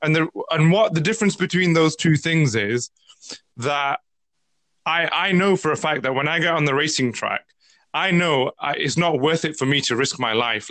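Speaking with a British accent, a man talks at a fairly high pitch. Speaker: podcast host. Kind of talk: casual interview chat.

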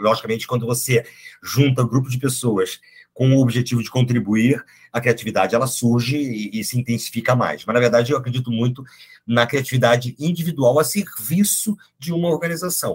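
At a fairly quick pace, a man talks in a somewhat breathy voice of medium pitch. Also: ordinary pitch variation. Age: 50s. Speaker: psychologist and HR executive. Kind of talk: casual interview conversation.

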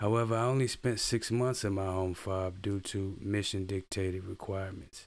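In a very clean recording with a silent background, a man talks at a moderate pace with hardly any pauses. His pitch is fairly low and his intonation fairly even. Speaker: army veteran and video creator. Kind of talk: reading aloud a personal blog post. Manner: halting, stumbles over words.

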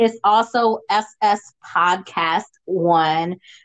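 Speaking very slowly, a woman delivers her words. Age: 50s. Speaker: podcast host and sex worker. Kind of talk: casual interview. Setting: remote call from home. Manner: chatty, rambling.

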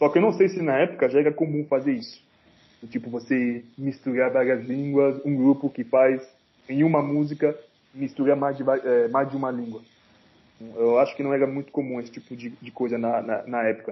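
A man with an unremarkable speaking voice, fairly high pitch, ordinary pitch variation, big swings in loudness and a moderate pace. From Cameroon. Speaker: rapper. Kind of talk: casual chat.

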